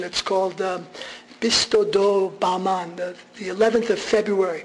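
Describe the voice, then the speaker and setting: As this man talks, noticeable background noise mixes with audible room echo. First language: Armenian. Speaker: radio journalist giving a talk. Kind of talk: public lecture. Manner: animated.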